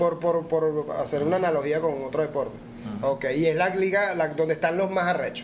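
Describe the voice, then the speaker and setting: Over noticeable background noise and audible room echo, a man with a fairly high pitch talks very fast with fairly even intonation. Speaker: podcast host. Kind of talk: casual chat.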